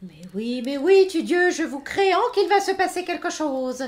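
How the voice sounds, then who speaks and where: In a put-on character voice, a female-sounding voice mumbles at a moderate pace with an extremely high pitch. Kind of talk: archaic medieval speech. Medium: audio drama. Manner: mumbling, distracted.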